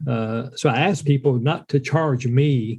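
The voice is somewhat breathy with a dark, mellow tone and fairly even intonation. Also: man. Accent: Appalachian. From US South, western North Carolina. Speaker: entrepreneur and business mentor, Air Force veteran. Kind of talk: casual conversational chat.

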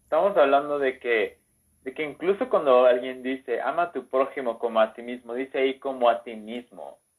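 A man with a Mexican accent talks at a moderate pace and medium pitch. His pitch variation is ordinary, and his loudness swings widely. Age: 30s. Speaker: enneagram content creator. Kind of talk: casual chat.

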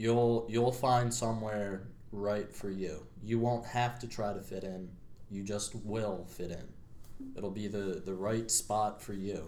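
A fairly low-pitched man with an American accent, a dark, mellow tone and fairly even intonation at a very slow pace, amid audible room echo. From Pennsylvania, US (Media). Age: 20s. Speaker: college student. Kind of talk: casual chat.

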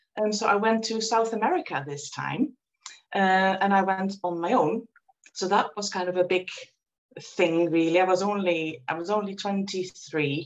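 A Dutch accent comes through at a fairly slow pace, with ordinary pitch variation. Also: woman, medium pitch for a woman. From Netherlands. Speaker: reiki practitioner and former nurse. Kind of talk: interview.

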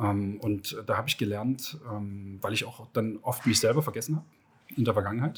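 At a moderate pace with long, frequent pauses, a man speaks at a medium pitch, somewhat breathy, with ordinary pitch variation. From Germany, Leipzig (Saxony). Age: 40s. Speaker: entrepreneur. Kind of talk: interview. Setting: outdoors at a racecourse.

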